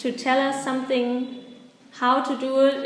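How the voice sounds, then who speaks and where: Speaking at a fairly slow pace with a German accent, the voice comes through noticeable background noise and audible room echo. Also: woman. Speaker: volunteer English teacher. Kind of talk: interview. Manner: halting.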